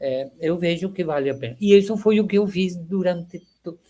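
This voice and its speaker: With a Spanish accent, a man speaks at a high pitch in a dark, mellow tone. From Venezuela. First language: Spanish (speaking Portuguese). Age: 70s. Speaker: agronomy professor. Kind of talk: interview reminiscence. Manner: halting, with repetitions.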